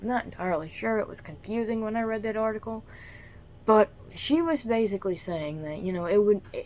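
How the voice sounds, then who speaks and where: Lively intonation, a fairly quick pace and big swings in loudness. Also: woman, fairly high pitch for a woman. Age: 20s. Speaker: YouTuber. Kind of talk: casual vlog monologue. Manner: soft-spoken; halting, many fillers.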